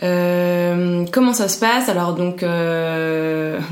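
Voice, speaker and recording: The clip carries audible echo from the room along with noticeable noise in the background. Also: woman. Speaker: HR manager at a startup. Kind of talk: interview.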